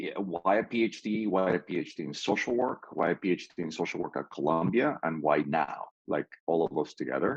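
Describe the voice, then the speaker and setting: In a Spanish accent, a man with a very deep, low pitch talks at a fairly quick pace with hardly any pauses and lively intonation, the sound dry and close with no echo. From Peru. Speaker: PhD student panelist. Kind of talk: panel discussion. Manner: halting.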